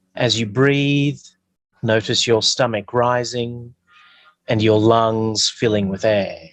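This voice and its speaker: Speaking with an Australian accent, a man talks at a very slow pace and medium pitch. His loudness stays very even and his intonation fairly even. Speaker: bishop and parish priest. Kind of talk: lecture; guided meditation. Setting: video call from a metal shed on a hotspot.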